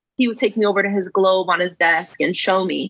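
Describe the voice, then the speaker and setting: This woman has an ordinary speaking voice with an American accent. Her pitch sits in the medium range, and her pace is moderate. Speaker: author and former foster youth. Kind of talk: interview.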